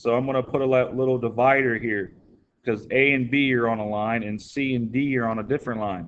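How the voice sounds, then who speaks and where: Speaking at a fairly quick pace, a man with an unremarkable speaking voice keeps a medium pitch and fairly even intonation. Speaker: math teacher. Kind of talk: tutorial. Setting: recorded video lesson.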